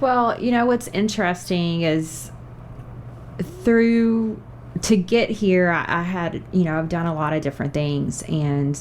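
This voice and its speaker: The speaker has a Kentucky accent and lively intonation, moving at a fairly slow pace. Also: woman, fairly low pitch for a woman. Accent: Kentucky Southern accent, regained. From Kentucky (Bardstown). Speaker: TV show host and media sales professional. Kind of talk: podcast interview.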